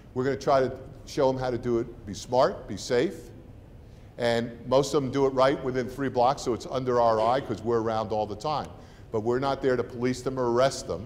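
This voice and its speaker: A man with a New Jersey accent speaks with fairly even intonation. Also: medium pitch for a man, fairly quick pace. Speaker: university president. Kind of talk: welcome talk to prospective students and parents. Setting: room with live audience. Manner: conversational, informal.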